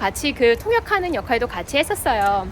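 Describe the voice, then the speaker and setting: Moderate-paced female speech with very wide swings in pitch and clear background noise. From South Korea. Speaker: real estate agent. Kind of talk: personal vlog narration. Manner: casual, conversational.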